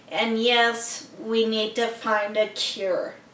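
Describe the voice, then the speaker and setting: Very slow speech with noticeable background noise and audible room echo. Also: woman. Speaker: person with multiple sclerosis. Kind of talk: personal testimony and donation appeal. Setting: seated in a wheelchair. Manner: slurred speech.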